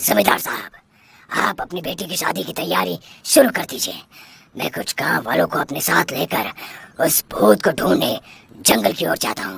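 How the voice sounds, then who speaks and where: A cartoonish character voice moves at a moderate pace with very wide pitch swings and long, frequent pauses. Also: man, medium pitch for a man. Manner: authoritative.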